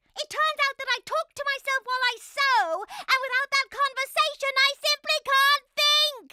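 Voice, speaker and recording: A female-sounding cartoonish character voice speaks at an extremely high pitch and a moderate pace. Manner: refined, theatrical.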